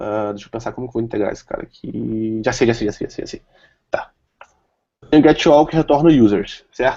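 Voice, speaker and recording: Dark and mellow in tone, a man talks at a fairly quick pace with ordinary pitch variation and big swings in loudness. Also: medium pitch for a man. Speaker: software developer presenter. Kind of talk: tech talk with live demo.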